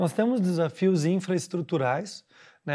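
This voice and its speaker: A man in a normal speaking voice, at a moderate pace with ordinary pitch variation. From Paraná, southern Brazil (Cascavel). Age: 20s. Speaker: politician. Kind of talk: TV interview. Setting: TV studio.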